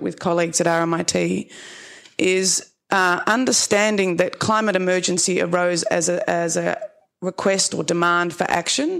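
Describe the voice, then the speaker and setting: With an Australian accent, a woman speaks at a medium pitch and with ordinary pitch variation. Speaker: social services worker. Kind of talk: panel discussion talk. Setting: stage with audience.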